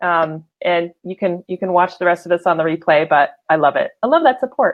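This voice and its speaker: A woman at medium pitch talks at a moderate pace in an unremarkable speaking voice. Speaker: livestream show host. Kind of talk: casual live show talk.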